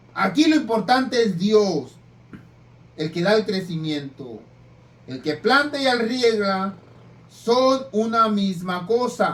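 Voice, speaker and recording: At a very slow pace, a man talks at a high pitch with very wide pitch swings. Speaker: preacher. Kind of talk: sermon. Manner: stutters when reading; rough, plain speech.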